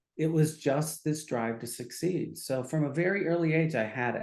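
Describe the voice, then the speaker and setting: A man's fairly high-pitched, a normal speaking voice, with ordinary pitch variation and a moderate pace. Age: 60s. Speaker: psychiatrist. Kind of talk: casual chat.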